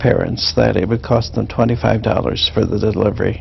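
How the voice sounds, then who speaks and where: A man with a Midwestern US accent is heard over noticeable background noise. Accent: US Midwest. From Kansas. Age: 50s. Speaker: education professor. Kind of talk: oral history interview. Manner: halting, many fillers.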